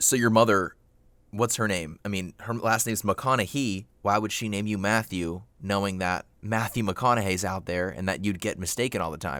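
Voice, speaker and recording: Speaking at a moderate pace, a man has a bright, sharp tone, a fairly low pitch and ordinary pitch variation. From Florida, US (born in New York). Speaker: comedy podcast host. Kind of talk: comedic skit, mock phone-in interview. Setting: home recording in a closet.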